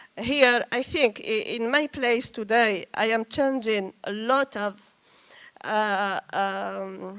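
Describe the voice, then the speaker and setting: A woman's fairly high voice at a very slow pace, with ordinary pitch variation, a dry, close sound with no echo and a very clean recording with a silent background. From Algeria. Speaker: scientist and government official. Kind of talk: panel discussion. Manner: halting, searching for words.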